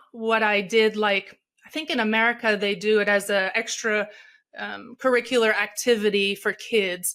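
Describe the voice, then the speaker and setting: The voice has a bright, sharp tone and a Portuguese accent. Intonation is fairly even on a very clean recording with a silent background. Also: woman. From Brazil, Rio de Janeiro. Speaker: speaker and coach. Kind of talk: podcast interview.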